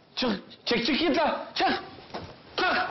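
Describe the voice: Put-on character voice from a man, extremely high-pitched, slow, with ordinary pitch variation and audible room echo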